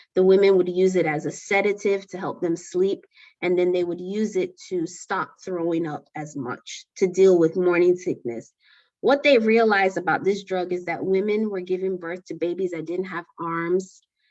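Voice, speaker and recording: A woman has a normal speaking voice at a medium pitch. Her pace is moderate and her pitch variation ordinary. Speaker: lecturer. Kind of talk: lecture.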